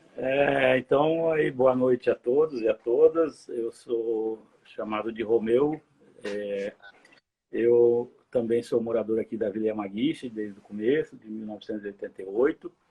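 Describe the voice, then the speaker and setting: An unremarkable speaking voice belongs to a man who has a medium pitch and ordinary pitch variation. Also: fairly slow pace, big swings in loudness. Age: 60s. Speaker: community member, interviewee. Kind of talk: casual interview. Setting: live video stream.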